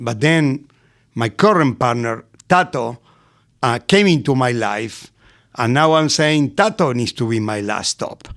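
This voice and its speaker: In an Argentinian accent, the speaker talks in an animated tone with lively intonation at a fairly slow pace, with long, frequent pauses, on a very clean recording with a silent background. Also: man, medium pitch for a man. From Argentina, Buenos Aires. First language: Spanish. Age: 60s. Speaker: restaurateur. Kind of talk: podcast interview. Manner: animated storytelling.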